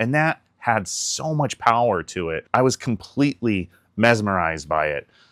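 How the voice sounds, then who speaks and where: A man's fairly low voice at a moderate pace with very wide pitch swings, very cleanly recorded against a silent background, dry and close with no echo. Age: 40s. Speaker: YouTube content creator. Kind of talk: personal vlog monologue. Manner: casual, conversational.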